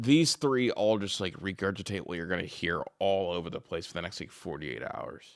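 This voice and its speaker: A man speaks fairly quickly at a fairly low pitch, animated, with lively intonation and big swings in loudness. The recording is very clean, with a silent background. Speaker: sports reaction streamer. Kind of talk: reaction commentary. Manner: fast.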